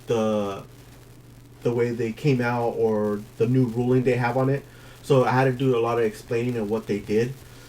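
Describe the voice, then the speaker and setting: A man's flat, monotone delivery at a moderate pace. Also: medium pitch for a man. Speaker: card game tournament player. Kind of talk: deck profile explanation. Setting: at a game store. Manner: halting, many fillers.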